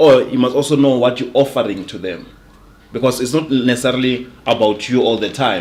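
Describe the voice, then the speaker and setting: With audible room echo, a man talks at a fairly quick pace and medium pitch, his intonation fairly even. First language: not English. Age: young. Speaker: sales coach. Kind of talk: casual interview chat. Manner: repeats words, halting.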